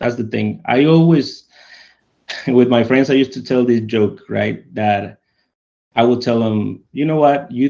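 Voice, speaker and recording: A man with a Mexican accent talks at a fairly slow pace in a medium pitch, with ordinary pitch variation. His tone is dark and mellow. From Mexico, San Luis Potosí. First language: Spanish. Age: 30s. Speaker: podcast guest, communication coach. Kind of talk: casual interview chat.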